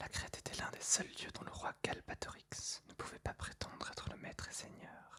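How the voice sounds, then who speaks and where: A woman whispers with hardly any pauses over noticeable background noise. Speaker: ASMR reader. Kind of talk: whispered ASMR book reading for sleep. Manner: whispered, soft, slow.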